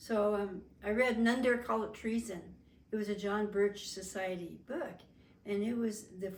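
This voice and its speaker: A woman with an American accent speaks at medium pitch and a moderate pace. Her pitch varies in an ordinary way, and there is audible room echo. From Las Vegas, Nevada, US. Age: 70s. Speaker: family interviewee. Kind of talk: oral history interview. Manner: halting, with frequent fillers.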